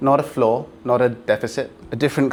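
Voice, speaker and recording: In a British accent, a man speaks at a medium pitch and a moderate pace with fairly even intonation. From Britain. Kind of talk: keynote speech. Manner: halting, with repeated words.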